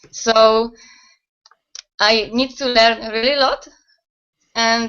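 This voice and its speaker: A woman's fairly high, monotone voice with flat intonation and a Polish accent. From Poland. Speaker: website owner, network marketer. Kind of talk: interview answers. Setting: video call. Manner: halting.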